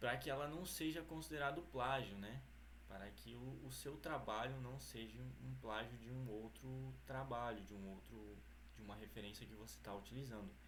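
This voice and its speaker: The speech moves at a moderate pace, with room echo audible throughout. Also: man. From Brazil, Mato Grosso. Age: 20s. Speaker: university student. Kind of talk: academic presentation. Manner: halting.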